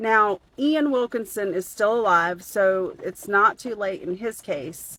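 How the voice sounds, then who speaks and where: A woman with a Southern US accent, medium pitch, and ordinary pitch variation, in a dry, close sound with no echo. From US South. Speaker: true crime commentator. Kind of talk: casual commentary video.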